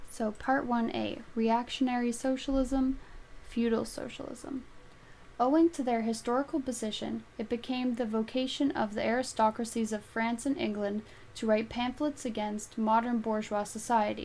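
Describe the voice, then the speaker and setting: This woman is soft-spoken, with a high pitch, fairly even intonation and a moderate pace. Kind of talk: audiobook reading.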